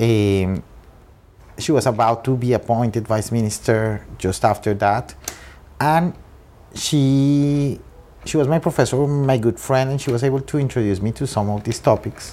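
With a Spanish accent, a man talks at a moderate pace in a medium pitch, showing ordinary pitch variation. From Colombia, Bogota. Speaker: trade diplomat. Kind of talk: interview. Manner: halting.

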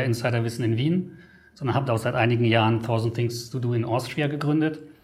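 With a somewhat breathy, medium-pitched voice, a man speaks at a very fast pace and fairly even intonation amid audible room echo. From Germany. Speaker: travel editor. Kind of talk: interview. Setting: studio.

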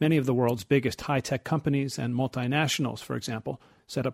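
A man's medium-pitched voice with vocal fry and fairly even intonation at a fairly quick pace, dry and close with no echo, in a very clean recording with a silent background. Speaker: radio reporter. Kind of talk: scripted news report.

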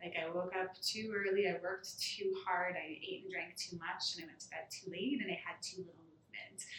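A woman speaks at a medium pitch and a fairly quick pace, with hardly any pauses and fairly even intonation. Hers is an unremarkable speaking voice, though her loudness swings widely. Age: young. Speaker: fitness studio owner. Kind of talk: interview.

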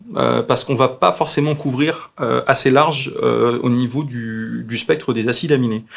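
Noticeable background noise sits behind this man's voice. He talks with hardly any pauses. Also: moderate pace. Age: 40s. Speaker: pet food company founder. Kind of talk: live Q&A interview. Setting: Facebook live stream.

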